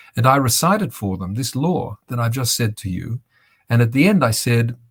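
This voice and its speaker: This man has an Australian accent and a medium-pitched, somewhat breathy voice. His intonation is lively and his pace is moderate. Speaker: bereaved father and activist. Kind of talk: interview talk.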